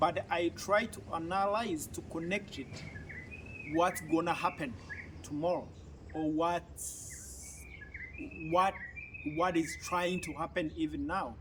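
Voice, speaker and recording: A man speaks at a very slow pace, leaving long, frequent pauses. Background noise is noticeable. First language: an African language (not English). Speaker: YouTube commentator. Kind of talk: political commentary monologue. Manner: halting.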